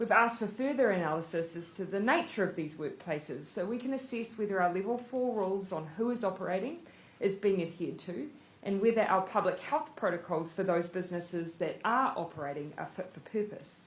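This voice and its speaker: Lively intonation marks a woman speaking in a New Zealand accent. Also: medium pitch for a woman, fairly quick pace. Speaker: prime minister. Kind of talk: government press briefing.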